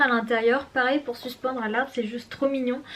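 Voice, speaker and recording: Over noticeable background noise, a woman speaks in a high pitch with monotone, flat intonation. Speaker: beauty and lifestyle vlogger. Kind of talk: casual vlog, showing birthday gifts. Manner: hesitant, many fillers.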